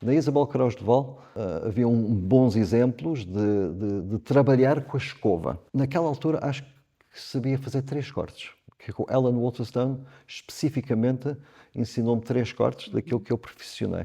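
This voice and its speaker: Over a quiet background, a man speaks at a medium pitch with a dark, mellow tone and ordinary pitch variation. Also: moderate pace. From Zimbabwe. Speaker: hairdresser. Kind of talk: podcast interview. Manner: halting, repeats words.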